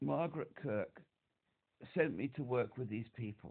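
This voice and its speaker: A man with a medium pitch talks fairly slowly, and his pitch moves in an ordinary way. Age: 60s. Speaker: caller to an emotional support helpline. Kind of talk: phone call to support line. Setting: phone call. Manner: halting, repetitive.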